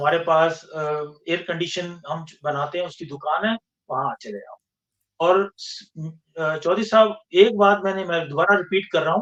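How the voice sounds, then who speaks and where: This man's voice sits high, with ordinary pitch variation. His loudness swings in big jumps. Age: 60s. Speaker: engineer and scientist, podcast guest. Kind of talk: interview conversation. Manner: halting, with false starts.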